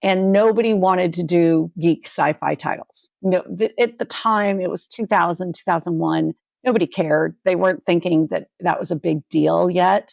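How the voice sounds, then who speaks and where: A woman with an American accent speaks at a moderate pace with hardly any pauses. Her pitch is fairly low, with ordinary variation. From California, San Francisco. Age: 60s. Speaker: digital marketing consultant. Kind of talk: podcast interview.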